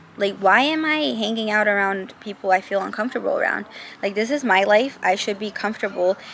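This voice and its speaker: Using an ordinary speaking voice, a woman talks fairly quickly at medium pitch, with ordinary pitch variation. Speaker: lifestyle vlogger. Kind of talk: casual monologue vlog. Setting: outdoors, then moves closer to camera.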